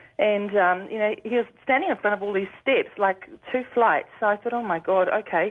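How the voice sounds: Speaking with a New Zealand accent, a woman moves at a fairly quick pace. Her pitch variation is ordinary. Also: medium pitch for a woman.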